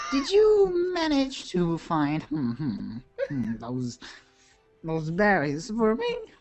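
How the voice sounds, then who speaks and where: Using a put-on character voice, a man speaks very slowly at a high pitch while faint music plays in the background. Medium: actual play. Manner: rambling, distracted, trailing off.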